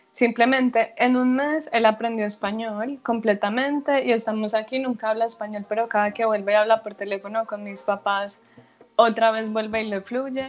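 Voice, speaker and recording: A woman speaks at a moderate pace in an unremarkable speaking voice. Her pitch is fairly high and her intonation fairly even. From Colombia, Medellín (Antioquia). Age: 20s. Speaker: language teacher. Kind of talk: casual interview.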